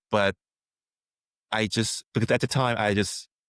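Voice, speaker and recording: A man speaks with a Korean accent and a fairly low pitch. The recording is very clean, with a silent background. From South Korea. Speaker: filmmaker. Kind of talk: casual chat. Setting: podcast interview. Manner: halting, many fillers.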